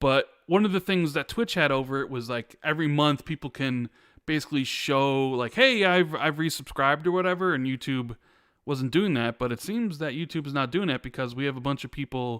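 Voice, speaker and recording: A man with an American accent has a plain, everyday voice, a fairly high pitch, and ordinary pitch variation at a fairly quick pace. The very clean recording has a silent background and a dry, close sound with no echo. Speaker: podcast host. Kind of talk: casual chat. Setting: live stream.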